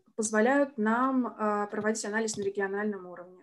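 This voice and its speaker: A woman's fairly high voice with fairly even intonation. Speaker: senior researcher. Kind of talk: academic presentation. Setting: video call. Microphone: video call.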